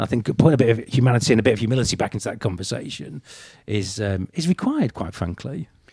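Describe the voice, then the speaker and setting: A man talks very fast in a medium pitch, somewhat breathy. His intonation is lively. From northeast England. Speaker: business author. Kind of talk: casual interview conversation. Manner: halting, frequent repetitions.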